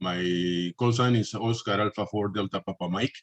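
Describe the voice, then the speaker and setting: Here a man talks at a moderate pace. The sound is dry and close, with no echo. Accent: Peruvian. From Peru. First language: Spanish. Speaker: amateur radio operator. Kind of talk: self-introduction in a meeting. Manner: halting.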